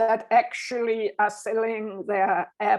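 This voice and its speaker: Over a quiet background, a woman speaks at a very slow pace. Her pitch is fairly high. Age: 60s. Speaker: composer. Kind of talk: interview. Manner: halting, many fillers and restarts.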